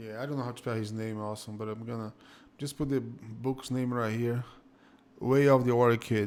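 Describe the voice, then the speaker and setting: A man with a Brazilian Portuguese accent, medium pitch and monotone, flat intonation. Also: moderate pace. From Northeast Brazil (Fortaleza). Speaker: jiu-jitsu school owner and instructor. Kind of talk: casual interview chat. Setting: live-streamed online call.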